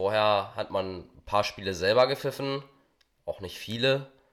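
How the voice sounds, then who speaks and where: A man talks at a moderate pace. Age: young. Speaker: amateur football referee. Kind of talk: interview.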